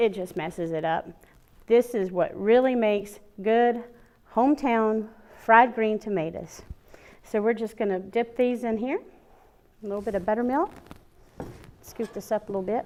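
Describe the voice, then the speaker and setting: Speaking at a moderate pace with long, frequent pauses, a woman with an American accent uses a fairly high pitch and ordinary pitch variation. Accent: Southern, thicker than usual. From US South, Alabama. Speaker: cooking show host. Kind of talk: cooking tutorial. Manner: casual, chatty.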